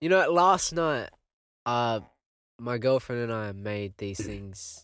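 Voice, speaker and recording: A man speaks at a fairly slow pace in an ordinary speaking voice. His pitch sits in the middle range, and his intonation is lively. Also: very clean recording, silent background. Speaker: podcast host and musician. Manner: laid-back, casual.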